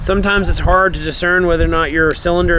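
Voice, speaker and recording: A man is talking with audible room echo around him. Background noise is noticeable too. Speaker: windshield repair technician. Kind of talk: tutorial. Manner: fast; casual, with fillers.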